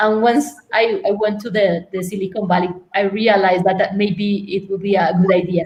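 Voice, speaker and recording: Somewhat breathy, a woman with a medium pitch talks at a fairly quick pace with fairly even intonation. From Colombia, Medellin. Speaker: tech entrepreneur and former lawyer. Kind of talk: interview. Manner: halting, many repetitions.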